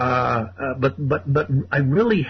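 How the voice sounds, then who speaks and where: Somewhat breathy, a man with a fairly high pitch speaks at a moderate pace, his pitch swinging very widely. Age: 60s. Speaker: caller. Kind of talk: call-in radio conversation. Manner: halting, many fillers and repetitions.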